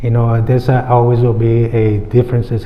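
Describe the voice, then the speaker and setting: A man with a non-native accent speaks at a medium pitch over noticeable background noise. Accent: noticeable foreign. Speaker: mayoral candidate. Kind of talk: candidate forum answer.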